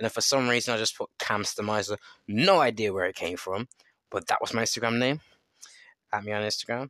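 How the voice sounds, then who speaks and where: Very fast but broken by long, frequent pauses, a man speaks at a medium pitch with ordinary pitch variation and a bright, sharp, animated tone. The recording is very clean with a silent background and a dry, close sound with no echo. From England. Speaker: podcaster and musician. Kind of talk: casual monologue. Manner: rambling, animated.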